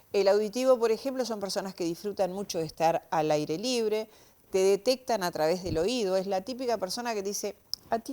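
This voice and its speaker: Here a woman's medium-pitched voice has a dark, mellow tone. She moves at a moderate pace with lively intonation. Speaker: semiology expert. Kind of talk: TV interview explanation.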